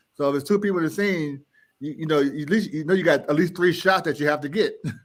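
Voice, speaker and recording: Speaking very fast with an American accent and ordinary pitch variation, a man is heard on a very clean recording with a silent background. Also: fairly high pitch for a man. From Richmond, Virginia, US. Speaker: independent filmmaker. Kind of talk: interview.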